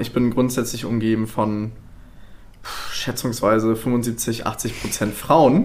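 A man with a medium-pitched voice speaks at a very slow pace, his intonation fairly even. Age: 20s. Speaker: corporate culture change specialist. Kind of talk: casual chat. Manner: halting.

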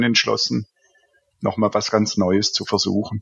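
A man speaks with a Swabian accent. His intonation stays fairly even. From Swabia, southern Germany. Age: 50s. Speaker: IT consultant and business owner. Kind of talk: casual interview. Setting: remote call from home office. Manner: halting, many filler sounds.

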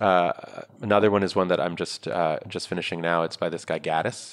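A man with a New York accent talks at a fairly quick pace. His pitch is very deep and low, and his intonation is fairly even. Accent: New York American. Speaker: startup founder and investor. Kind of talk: interview.

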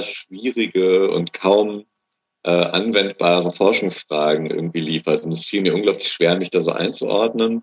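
An unremarkable speaking voice moves at a fairly slow pace with fairly even intonation. The recording is dry and close with no echo. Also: man. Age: 20s. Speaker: master's graduate in musicology. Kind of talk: interview.

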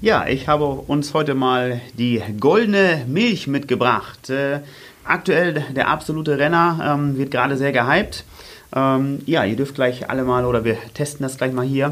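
A man with a normal speaking voice at a fairly high pitch, fairly slow in pace, with ordinary pitch variation. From northern Germany, Oldenburg. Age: 30s. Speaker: running coach and fitness trainer. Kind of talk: casual interview chat. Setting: studio.

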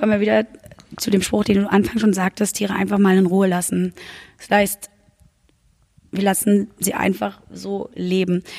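A woman's medium-pitched voice at a moderate pace, with monotone, flat intonation and long, frequent pauses. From Berlin-Brandenburg. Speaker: podcast host. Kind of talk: interview.

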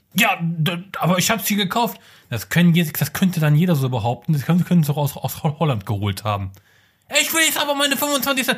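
Speaking at a fairly quick pace with long, frequent pauses, a man uses a high pitch that swings very widely. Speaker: podcast co-host. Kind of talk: casual chat. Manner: loud.

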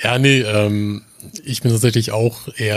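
At a fairly slow pace, a man talks in an unremarkable speaking voice, medium in pitch with ordinary pitch variation. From northern Germany. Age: 20s. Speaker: podcast co-host. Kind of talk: casual chat.

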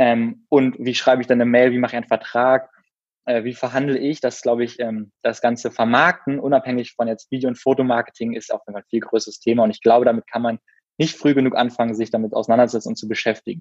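A man with a medium pitch speaks very fast in a monotone, flat intonation. The sound is dry and close with no echo. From Berlin, Germany. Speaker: former circus performer and videographer. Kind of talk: podcast interview.

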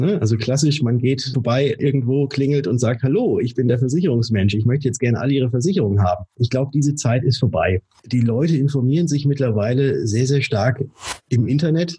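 A man speaks at a fairly quick pace in a medium-pitched, somewhat breathy voice with a dark, mellow tone and very even loudness. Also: ordinary pitch variation. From Germany, Würzburg (Lower Franconia). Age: 30s. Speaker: insurance broker. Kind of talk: podcast interview. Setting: office, remote call.

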